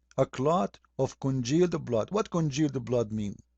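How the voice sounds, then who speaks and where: With an Arabic accent, a man with a fairly high pitch and a dark, mellow tone speaks at a fairly slow pace. His voice is somewhat breathy, his intonation lively, and the sound dry and close with no echo. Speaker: religious critic. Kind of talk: polemical video commentary. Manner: animated.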